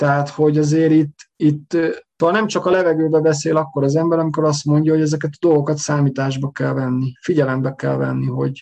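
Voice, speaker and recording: Speaking at a fairly quick pace, a man with a fairly high pitch keeps his intonation fairly even in a dark, mellow tone. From Hungary. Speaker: emigrant telling his story. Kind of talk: storytelling interview. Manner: halting, repeats words.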